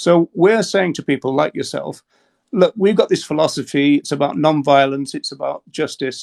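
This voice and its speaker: In an English accent, a man talks at a moderate pace, and the sound is dry and close with no echo. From England. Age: 60s. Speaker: animal rights advocate. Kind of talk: debate with a TikTok caller. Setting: TikTok live video call. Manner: halting, many repetitions.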